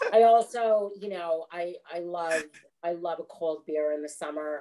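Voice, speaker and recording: A woman talks at a fairly slow pace, her fairly low voice showing ordinary pitch variation. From Canada, Alberta. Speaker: actress. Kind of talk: interview, casual chat.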